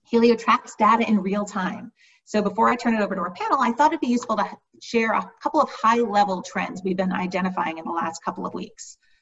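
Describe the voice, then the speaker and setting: A woman races along at a very fast pace, her pitch varying in an ordinary way, while light noise hums behind her. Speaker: panel host. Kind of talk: webinar introduction. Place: home room. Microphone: webcam.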